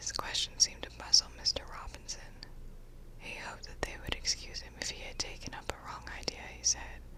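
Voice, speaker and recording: A woman whispering at a fairly quick pace, big swings in loudness, noticeable background noise. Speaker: ASMR audiobook reader. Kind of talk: audiobook narration. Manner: soft-spoken.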